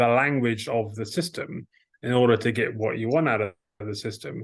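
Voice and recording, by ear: Here a man talks at a medium pitch with ordinary variation. There is vocal fry and a slightly husky edge.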